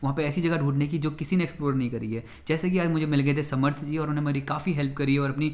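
A man talks at a very fast pace with hardly any pauses. His intonation stays monotone and flat. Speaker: travel vlogger. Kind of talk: casual vlog chat. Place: home room. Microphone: camera far.

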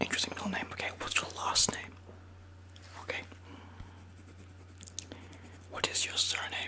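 A man whispers at a moderate pace. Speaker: video creator. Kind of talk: playful role-play talk to camera. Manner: soft close-mic ASMR voice. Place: home room. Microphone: studio mic.

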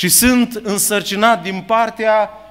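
A man talks at a high pitch and a fairly slow pace. His intonation is fairly even, and the background is quiet. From Ukraine, Chernivtsi region; Ukraine. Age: 50s. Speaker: preacher. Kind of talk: sermon. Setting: church. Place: church. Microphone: podium.

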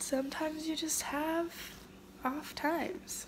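Light background noise sits behind a woman as she talks. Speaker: vlogger. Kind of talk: casual vlog chat, emotional confession. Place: home room. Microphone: phone near.

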